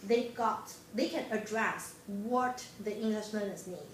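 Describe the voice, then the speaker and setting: A woman with a Chinese accent speaks at a fairly slow pace and a fairly high pitch, with fairly even intonation. Noticeable background noise and audible room echo are present. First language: Mandarin Chinese. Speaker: graduate student presenter. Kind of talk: class presentation. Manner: halting.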